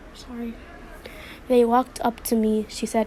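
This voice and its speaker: Her pitch fairly high, a woman speaks at a moderate speed. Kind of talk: read story. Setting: home, background noise of kids playing. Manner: stuttering.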